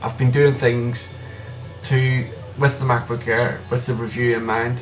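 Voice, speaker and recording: Music plays behind a man speaking in a medium pitch. His pace is fairly slow and his intonation flat and monotone. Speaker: tech reviewer. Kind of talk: casual product review to camera. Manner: stuttering, hesitant.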